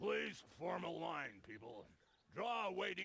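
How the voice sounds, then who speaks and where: A man's put-on character voice, fairly high in pitch. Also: fairly slow pace. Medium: video game.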